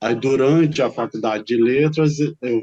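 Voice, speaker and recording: Dark and mellow in tone, a man's medium-pitched voice shows ordinary pitch variation. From Brazil, São Paulo city. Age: 60s. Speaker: teacher and writer. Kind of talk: interview. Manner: halting.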